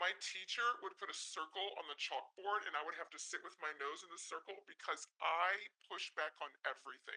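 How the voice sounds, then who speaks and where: With a bright, sharp tone and a high pitch, a man talks at a fairly quick pace with ordinary pitch variation. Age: 50s. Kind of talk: Q&A discussion.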